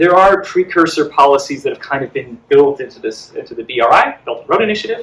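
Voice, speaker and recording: This man's voice is high-pitched, with lively intonation and big swings in loudness. He talks at a very fast pace with hardly any pauses. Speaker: panelist on Arctic geopolitics. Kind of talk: panel discussion. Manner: hesitant, many fillers.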